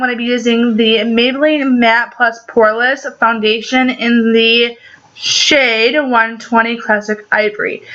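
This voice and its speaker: A woman talks at a fairly slow pace while noticeable background noise plays. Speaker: beauty vlogger. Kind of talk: makeup tutorial. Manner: casual, with many fillers.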